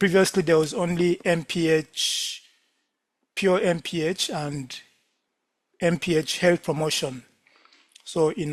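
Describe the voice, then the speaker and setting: A man speaks slowly in a high pitch with fairly even intonation. He takes long, frequent pauses at his fairly slow pace. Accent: Ugandan. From Uganda. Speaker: lecturer, medical doctor. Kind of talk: lecture.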